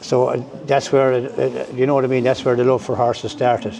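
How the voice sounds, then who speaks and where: Noticeable background noise sits behind a man speaking at medium pitch. He talks at a fairly quick pace with monotone, flat intonation. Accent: Irish. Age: 60s. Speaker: racehorse and greyhound trainer. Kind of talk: interview. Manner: halting, full of fillers.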